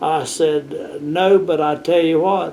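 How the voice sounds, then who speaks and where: A man's high voice with an American accent, monotone and flat in intonation, with noticeable background noise. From US South. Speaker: planetarium educator. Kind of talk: interview.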